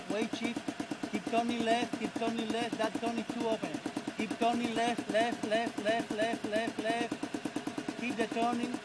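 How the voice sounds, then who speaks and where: A man at a fairly slow pace amid loud background noise. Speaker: paragliding instructor. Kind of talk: coaching commands. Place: open country.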